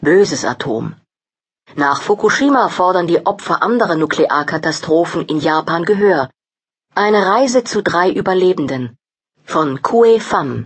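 Her medium-pitched voice swings very widely in pitch as this woman talks at a fairly slow pace. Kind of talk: news-style headline reading, table of contents. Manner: brisk, neutral, formal.

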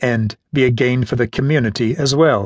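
With a dry, close sound and no echo, a man talks in a somewhat breathy voice. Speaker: audiobook narrator. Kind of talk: audiobook narration of nonfiction, read aloud in a measured, literary style. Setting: studio. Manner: measured, even and formal; earnest, steady pacing with a lecturing tone.

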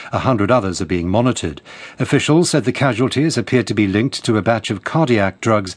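A man with a British accent, a medium pitch and very wide pitch swings. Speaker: newsreader. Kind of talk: news reading. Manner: formal.

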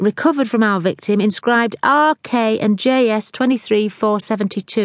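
What's heard here is plain reading aloud.

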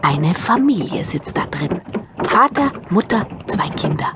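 A woman's voice over noticeable background noise

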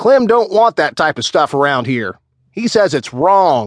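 A man does a put-on character voice at a moderate pace, with a fairly high pitch and very wide pitch swings. The sound is dry and close, with no echo. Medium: read story. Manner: blustering, then whiny and defensive.

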